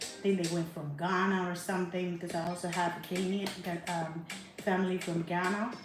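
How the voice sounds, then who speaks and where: With music in the background and audible room echo, a woman with a Spanish accent speaks at a medium pitch and moderate pace. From Panama. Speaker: travel vlogger. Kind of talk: casual travel vlog monologue.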